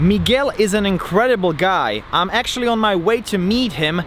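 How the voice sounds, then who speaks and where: Through noticeable background noise, a man with a high pitch speaks at a moderate pace using lively intonation. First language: Slovak. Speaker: comedy YouTuber. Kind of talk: vlog narration.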